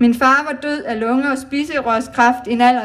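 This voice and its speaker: Against noticeable background noise, a woman with a high pitch sounds shaky, speaking at a fairly slow pace with fairly even intonation. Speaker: cancer survivor speaking at charity event. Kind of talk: public speech. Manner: trembling voice.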